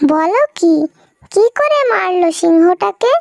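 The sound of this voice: A squeaky, cartoonish character voice. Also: female-sounding voice, extremely high pitch for a woman.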